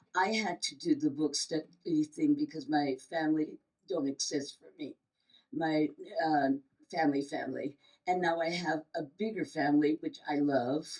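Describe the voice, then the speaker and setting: A woman talks at a moderate pace in a very deep, low pitch. Her pitch varies in an ordinary way while her loudness swings a lot. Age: 70s. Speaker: writer on a panel. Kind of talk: panel Q&A. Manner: halting.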